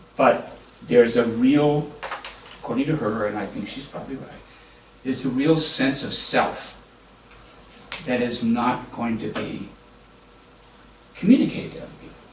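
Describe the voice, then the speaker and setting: An American-accented voice moves at a moderate pace with long, frequent pauses, ordinary pitch variation and big swings in loudness. Audible room echo and noticeable background noise fill the recording. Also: man, medium pitch for a man. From US, military upbringing. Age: 70s. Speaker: law professor. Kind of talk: panel discussion. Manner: halting.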